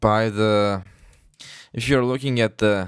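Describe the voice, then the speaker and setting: A man with a non-native accent speaks with ordinary pitch variation. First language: not English. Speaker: gaming youtuber. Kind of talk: gameplay commentary. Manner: halting. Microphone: close to the mic, loud, breath and lip smacks.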